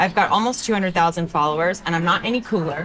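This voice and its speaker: With an American accent, a woman of medium pitch talks at a fairly quick pace with ordinary pitch variation over noticeable background noise. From Texas, Denton. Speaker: hairstylist and social media educator. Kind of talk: interview. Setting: live industry event.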